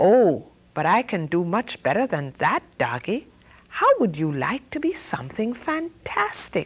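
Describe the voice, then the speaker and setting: In a put-on character voice, a woman sounds shrill at a medium pitch, her pitch swinging very widely at a moderate pace. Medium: read story. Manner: excitable.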